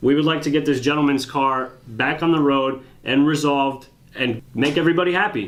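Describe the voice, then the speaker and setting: A man's fairly high voice, fairly quick and fairly even in intonation, very even in loudness, over noticeable background noise. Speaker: auto repair shop owner. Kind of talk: heated phone argument.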